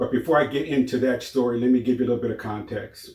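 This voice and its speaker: A man talks with an American accent. His voice is somewhat breathy. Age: 60s. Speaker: YouTuber sharing personal stories. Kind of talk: personal testimony monologue.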